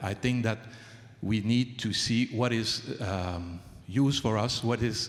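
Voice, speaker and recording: A man in a French Canadian accent speaks at medium pitch and a fairly slow pace, with ordinary pitch variation. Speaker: traditional Chinese medicine doctor and author. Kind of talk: award acceptance speech. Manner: halting.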